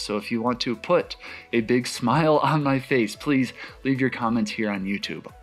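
A man speaking at a moderate pace with ordinary pitch variation, faint music in the background. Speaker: astrophotography youtuber. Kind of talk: tutorial. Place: home room.

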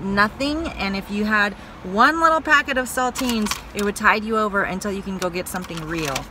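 Recorded with a dry sound and no echo, a woman speaks at a moderate pace over noticeable background noise. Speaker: vlogger. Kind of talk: casual vlog chat. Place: car. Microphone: phone near.

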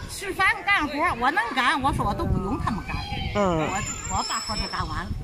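A woman talks at a fairly quick pace over loud background noise. The sound is dry, with no echo. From Weihai, Shandong, China. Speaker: street interviewee. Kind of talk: interview answer. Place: street. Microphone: phone near.

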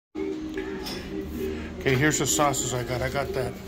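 A man talks over loud music playing in the background. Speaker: food vlogger. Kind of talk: casual vlog chat. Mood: excited. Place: cafe. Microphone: phone near.

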